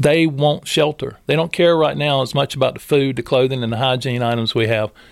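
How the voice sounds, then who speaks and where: In a very clean recording with a silent background, a man with a North Carolina accent talks at a fairly quick pace, his fairly high voice showing ordinary pitch variation. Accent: US South, North Carolina. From Moore County, North Carolina (Robbins). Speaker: homeless charity director. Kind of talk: podcast interview. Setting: studio.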